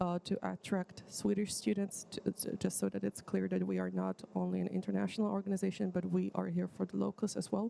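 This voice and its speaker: A woman with a non-native accent at a fairly quick pace, hardly any pauses and very even loudness, in a dry, close sound with no echo. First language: not English. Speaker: student organization board candidate. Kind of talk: presentation of a plan at an assembly. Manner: halting, many fillers.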